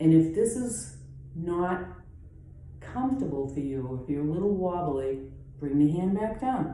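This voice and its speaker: Speaking at a fairly slow pace with a Boston accent, a woman uses lively intonation at a very deep, low pitch, with audible room echo. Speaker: yoga teacher. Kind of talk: guided yoga class. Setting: at home. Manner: calm, instructive.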